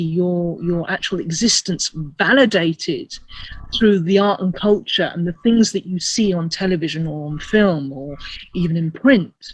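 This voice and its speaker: A woman with a British accent speaks at a fairly slow pace. Her voice is somewhat breathy, with lively intonation. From England, first-generation immigrant from Asia. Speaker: actor, writer and activist. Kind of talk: interview. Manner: hesitant, many repetitions.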